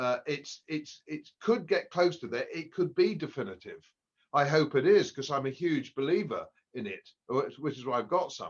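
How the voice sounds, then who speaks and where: The speaker talks at a moderate pace in an English accent. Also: man. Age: 70s. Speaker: economist. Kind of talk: podcast interview. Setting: at home. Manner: halting.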